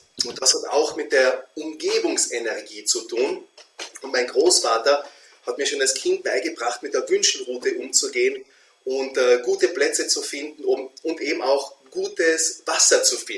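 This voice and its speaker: A man talks at a moderate pace with an Austrian accent. Noticeable background noise runs behind him. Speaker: feng shui consultant. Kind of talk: interview conversation.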